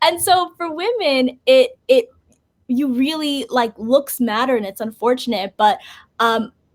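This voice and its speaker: Slow-paced, a woman speaks at a high pitch in an animated tone with lively intonation. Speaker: basketball podcaster and journalist. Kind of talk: interview.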